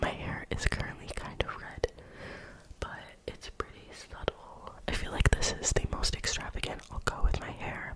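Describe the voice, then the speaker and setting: At a moderate pace, a woman delivers her words in a whisper. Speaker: ASMR creator. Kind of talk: casual talk to camera. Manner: whispered, soft-spoken. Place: home room. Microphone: studio mic.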